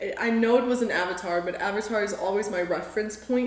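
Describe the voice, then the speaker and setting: Amid noticeable background noise and audible room echo, a woman talks at a very fast pace with a fairly high pitch. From South Africa. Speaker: art student. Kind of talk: interview. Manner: casual with many fillers.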